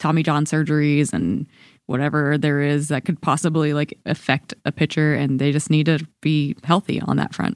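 A woman with an American accent speaks at a very deep, low pitch with vocal fry and a fairly quick pace. The sound is dry and close with no echo, in a very clean recording with a silent background. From Georgia, US. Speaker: baseball beat reporter. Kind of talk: casual chat.

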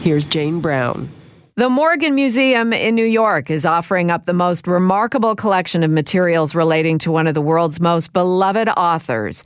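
A woman with a normal speaking voice and fairly low pitch uses lively intonation in a very clean recording with a silent background. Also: moderate pace, very even loudness. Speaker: announcer and news reader. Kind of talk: news reading.

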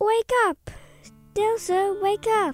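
An extremely high, whiny put-on character voice. Faint music plays in the background. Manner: whining, pleading.

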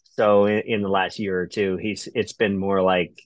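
In a very clean recording with a silent background, a man with an American accent speaks at a very deep, low pitch, the sound dry and close with no echo. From Ohio, US Midwest. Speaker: ultramarathon runner. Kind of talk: casual interview chat.

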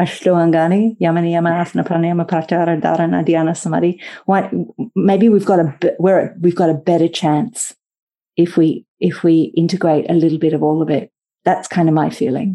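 Speaking at a fairly quick pace in an Australian accent, a woman has a fairly low pitch, a dark, mellow tone, fairly even intonation and very even loudness. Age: 50s. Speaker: yoga teacher. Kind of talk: interview.

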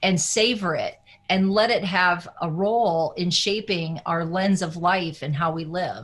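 A woman's medium-pitched voice with a US Midwestern accent, fairly slow with ordinary pitch variation, against a quiet background. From Iowa, US Midwest. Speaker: wellness coach. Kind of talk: interview.

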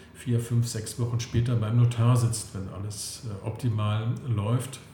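Audible room echo and noticeable background noise surround a man who speaks at a medium pitch with monotone, flat intonation. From Saxony-Anhalt, Altmark (eastern Germany). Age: 50s. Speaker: real estate investment consultant. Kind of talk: interview. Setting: office.

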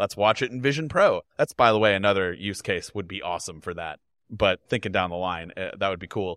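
A man with an unremarkable speaking voice talks at a fairly quick pace and a fairly low pitch, with ordinary pitch variation and big swings in loudness, recorded dry and close with no echo against a quiet background. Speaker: tech video creator. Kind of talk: casual chat.

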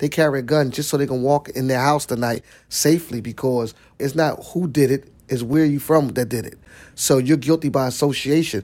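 At a fairly quick pace and fairly high pitch, a man with a Philadelphia accent keeps a fairly even intonation in a very clean recording with a silent background. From South Philadelphia. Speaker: nonprofit executive director. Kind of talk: interview.

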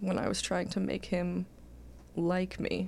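In a Californian accent, a woman speaks at a fairly slow pace. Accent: General American (California). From Los Angeles, North Hollywood. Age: 20s. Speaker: comedian. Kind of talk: casual chat.

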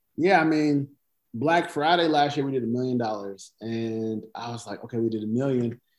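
A normal speaking voice with an American accent comes at a moderate pace and ordinary pitch variation over a quiet background. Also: man, medium pitch for a man. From US South. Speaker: clothing brand founder. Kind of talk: casual interview.

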